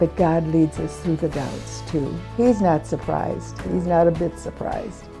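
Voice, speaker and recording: Fairly slow speech from a woman over background music. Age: 80s+. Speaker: churchgoer giving faith testimony. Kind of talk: interview answer.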